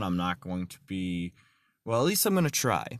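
The recording is very clean, with a silent background and a dry, close sound with no echo. A man speaks at a moderate pace. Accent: American. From Texas. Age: 20s. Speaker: podcast host. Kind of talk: religious talk podcast. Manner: halting.

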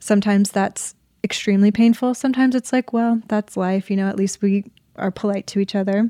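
Soft-spoken and medium-pitched, a woman with a dark, mellow tone talks at a moderate pace in a dry, close sound with no echo on a very clean recording with a silent background. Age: 20s. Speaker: actress. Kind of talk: casual chat.

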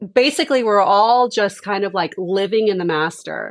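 A woman talks with an American accent in a normal speaking voice. Her pace is fairly slow and her pitch varies in an ordinary way. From Houston, Texas. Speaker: vacation rental owner. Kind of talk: casual interview.

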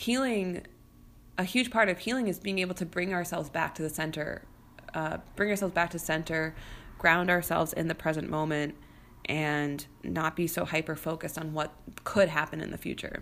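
With an American accent, a woman speaks in an ordinary speaking voice at a fairly low pitch. She keeps a moderate pace and ordinary pitch variation. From US Midwest, St. Louis suburbs. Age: 30s. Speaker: podcast host and business coach. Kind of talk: solo podcast monologue. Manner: casual, conversational with fillers.

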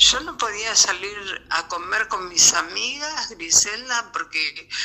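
The pace is very slow. It is a woman speaking. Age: 60s. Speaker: interviewee sharing health experience. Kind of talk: testimony. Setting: remote interview via voice messages.

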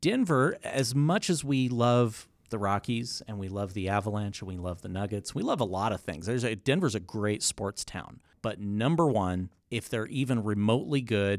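A man with a normal speaking voice, fairly low in pitch with ordinary pitch variation, speaks at a moderate pace in a very clean recording with a silent background. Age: 40s. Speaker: podcast host. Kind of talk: casual chat.

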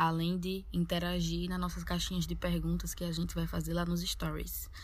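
The speaker has a strong Northeastern Brazilian accent and keeps a moderate pace. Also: woman. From Northeast Brazil. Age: 20s. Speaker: podcast co-host, university student. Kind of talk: casual podcast intro.

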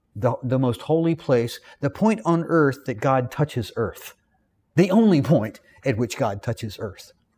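With a Southern US accent, a man talks fairly slowly at medium pitch in a dark, mellow, somewhat breathy tone with very wide pitch swings. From US South. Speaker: Bible teacher. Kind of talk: lecture. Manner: halting, frequent repetitions.

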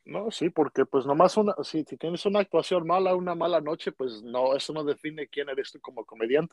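A man with an unremarkable speaking voice uses ordinary pitch variation. The sound is dry and close with no echo, over a quiet background. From Mexico. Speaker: podcast host. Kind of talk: casual interview.

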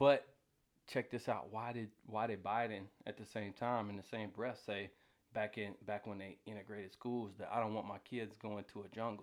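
In an American accent, a man talks at a moderate pace and a fairly low pitch with monotone, flat intonation. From US South (Atlanta). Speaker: oil field worker. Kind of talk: casual chat.

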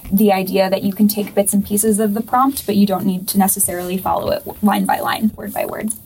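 Noticeable background noise surrounds a woman talking at a medium pitch. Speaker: podcast host and poet. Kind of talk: casual interview.

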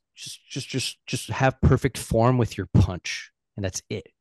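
Dry and close with no echo, a man speaks in a normal speaking voice at a medium pitch with ordinary pitch variation. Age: 40s. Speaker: sales coach and fitness enthusiast. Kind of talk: casual chat.

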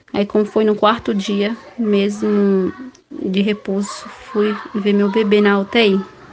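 A woman speaks at a very slow pace and medium pitch, her intonation fairly even. Noticeable background noise runs underneath. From Bahia, Brazil. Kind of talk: testimony. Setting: voice message.

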